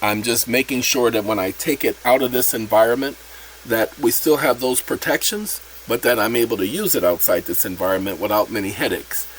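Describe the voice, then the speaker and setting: Noticeable background noise accompanies a man's voice. He talks at a fairly quick pace. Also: medium pitch for a man, ordinary pitch variation. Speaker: channel host explaining a self-made app. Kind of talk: casual tutorial.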